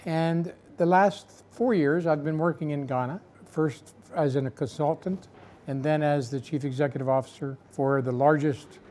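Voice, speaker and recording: Speaking with an American accent at a moderate pace, a man has a fairly high pitch, a dark, mellow tone and ordinary pitch variation. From United States. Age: 70s. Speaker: patient and author. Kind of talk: testimony. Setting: Turkey hospital area, recovering after surgery.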